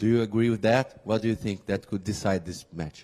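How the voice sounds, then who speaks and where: A man's dark, mellow voice with a Portuguese accent and fairly even intonation. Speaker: journalist. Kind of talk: press conference question.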